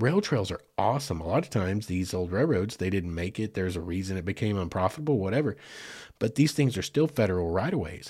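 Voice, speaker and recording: Talking at a very fast pace, a man with an Arkansas accent uses lively intonation and a fairly low, somewhat breathy voice in a very clean recording with a silent background. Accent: US South (Arkansas). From western Arkansas, Fort Smith area. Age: 40s. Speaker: podcast host. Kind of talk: casual storytelling monologue.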